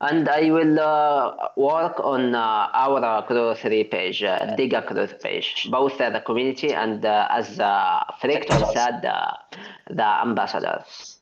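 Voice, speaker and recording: Noticeable background noise runs behind a man's voice. He speaks at a fairly slow pace with very even loudness. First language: not English. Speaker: community engagement lead. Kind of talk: casual online community meeting. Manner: halting, many hesitations.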